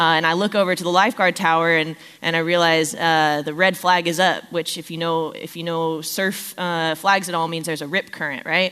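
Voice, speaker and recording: Speaking fairly quickly at a fairly low pitch, a woman with an American accent has a bright, sharp tone and flat, monotone intonation. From Southern California. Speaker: children's ministry staff giving a sermon. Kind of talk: sermon. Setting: church.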